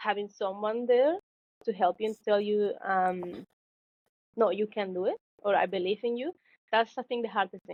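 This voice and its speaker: A woman with a Spanish accent at medium pitch, ordinary pitch variation, moderate pace and long, frequent pauses. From Mexico. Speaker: engineering graduate, tech intern. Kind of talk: podcast interview. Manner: halting, many fillers.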